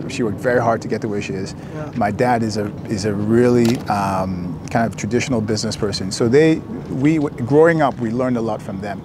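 A man with an American accent talks at a fairly quick pace. His pitch varies in an ordinary way, with noticeable background noise. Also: medium pitch for a man, dry sound with no echo. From US, Maryland. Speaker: real estate entrepreneur. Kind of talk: casual interview. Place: open country. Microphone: lapel.

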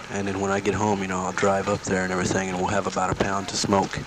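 Recorded dry with no echo, a man speaks at a fairly low pitch amid noticeable background noise. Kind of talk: casual spoken letter. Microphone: old recording.

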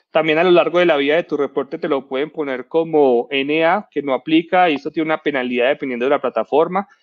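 Against a quiet background, a man talks at a very fast pace, with a fairly high pitch and fairly even intonation. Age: 30s. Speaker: cybersecurity expert; presenter. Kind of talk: talk presentation. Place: home room. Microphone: headset.

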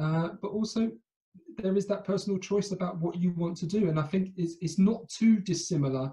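A man speaks in a British accent with a dark, mellow tone. His pitch varies in an ordinary way against a quiet background. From Britain. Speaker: fintech company director. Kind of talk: interview. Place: home room. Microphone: earbuds.

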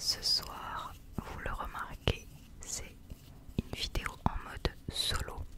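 Whispering in a relaxed tone, a woman talks at a very slow pace with long, frequent pauses. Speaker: ASMR content creator acting as a Japanese teacher. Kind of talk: ASMR roleplay lesson for sleep. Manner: soft, slow, relaxed, casual. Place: home room. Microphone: studio mic.

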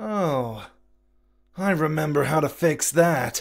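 The speaker uses a put-on character voice with a middle pitch. Delivery is fairly slow. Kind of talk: comic dub.

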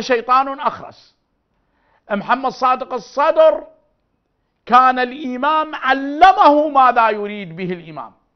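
A man's extremely high-pitched voice in an Iraqi accent, animated tone and lively intonation, fairly slow pace, big swings in loudness, and a quiet background. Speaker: religious figure; TV guest, speaker. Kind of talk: interview. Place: studio.

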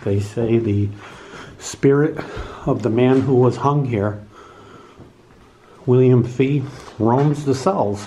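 A man speaks at a fairly slow pace with ordinary pitch variation. Light background noise sits behind him. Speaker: paranormal video host. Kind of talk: casual vlog walk-through narration. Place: hall. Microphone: phone near.

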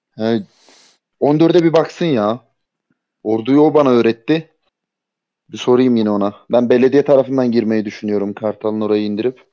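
A man speaks in a dark, mellow tone at a medium pitch and a moderate pace. His pitch varies in an ordinary way, and he takes long, frequent pauses. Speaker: clan member, player. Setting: Discord voice chat.

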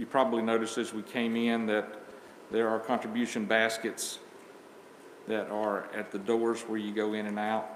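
With monotone, flat intonation, a man speaks at a moderate pace amid audible room echo and light background noise. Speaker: church member leading communion. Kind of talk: prayer and scripture reading. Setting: church. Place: church. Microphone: camera far.

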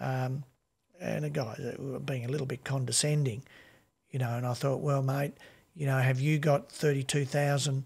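Fairly even intonation marks this man's speech. He sounds somewhat breathy, with an Australian accent. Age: 60s. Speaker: music label owner and podcast co-host; podcast co-host. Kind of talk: casual chat. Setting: video call. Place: home room. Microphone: studio mic.

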